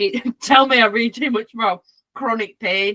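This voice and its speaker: A woman with a Yorkshire accent has a bright, sharp tone at a moderate pace. The sound is dry and close, with no echo. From Yorkshire, northern England. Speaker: podcast host, canine therapist. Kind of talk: casual chat. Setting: podcast.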